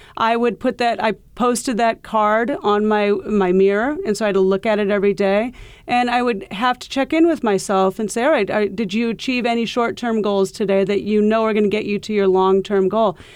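A woman in an American accent uses a plain, everyday voice at fairly high pitch with ordinary pitch variation. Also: fairly quick pace. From US Midwest (Iowa). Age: 50s. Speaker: golf professional and coach. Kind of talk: interview.

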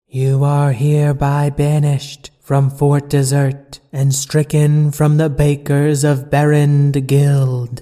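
Using a put-on character voice, the speaker booms at a low-to-middle pitch in a flat monotone, going fairly slowly with hardly any pauses. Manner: commanding, pronouncing a sentence.

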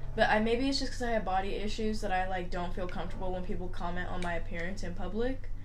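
A woman talks very fast in a room with audible echo and clearly noticeable background noise. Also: medium pitch for a woman, ordinary pitch variation, hardly any pauses. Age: 20s. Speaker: podcast co-host. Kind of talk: casual chat.

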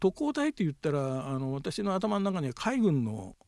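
A man's voice sits at a fairly high pitch, dark and mellow in tone, with very wide pitch swings. The sound is dry and close with no echo, on a very clean recording with a silent background. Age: 70s. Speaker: son researching his late parents. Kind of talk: interview.

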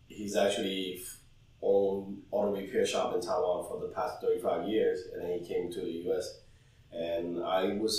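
With noticeable background noise and audible room echo, a man talks at a moderate pace. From Hong Kong. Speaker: restaurant head chef. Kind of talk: interview.

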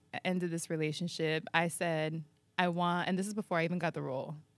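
Fairly low in pitch, a woman with an American accent is heard in a very clean recording against a silent background. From San Diego, US. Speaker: podcast host and creator. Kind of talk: casual chat. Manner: animated.

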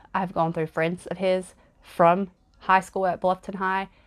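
A woman speaks with an American accent at a medium pitch and a fairly slow pace. Her intonation is monotone and flat, and the background is quiet. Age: 30s. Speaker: true crime podcaster. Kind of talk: casual narration of a crime case.

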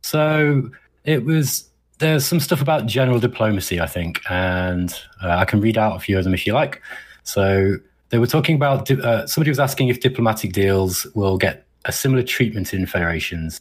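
A man's medium-pitched, somewhat breathy voice with lively intonation at a fairly quick pace, on a very clean recording with a silent background. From Derby, central England. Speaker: podcast co-host. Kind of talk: casual chat.

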